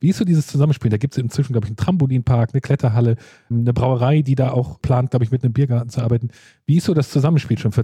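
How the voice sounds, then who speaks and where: Very fast and somewhat breathy, a man speaks in a dark, mellow tone, with a dry, close sound and no echo. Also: medium pitch for a man, ordinary pitch variation. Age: 40s. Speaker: podcast host. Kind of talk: interview.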